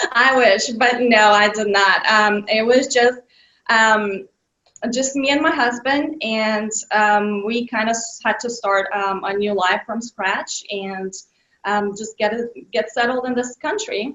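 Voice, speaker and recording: A woman with a Bulgarian accent speaks at a fairly slow pace. Her voice is fairly high, with fairly even intonation. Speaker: children's author. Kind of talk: interview. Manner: hesitant with many fillers.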